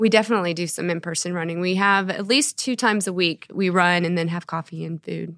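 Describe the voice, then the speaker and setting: With an American accent, a woman of fairly low pitch talks at a very fast pace with fairly even intonation on a very clean recording with a silent background. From Texas, Dallas area. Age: 50s. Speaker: running coach. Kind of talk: interview. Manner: introverted.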